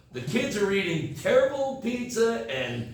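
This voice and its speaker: A man talks with an American accent and very wide pitch swings. Noticeable background noise and audible room echo fill the recording. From United States. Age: 60s. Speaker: English teacher. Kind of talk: casual talk to students.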